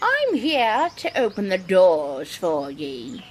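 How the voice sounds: A cartoonish character voice at a middle pitch and a very slow pace, over clear background noise.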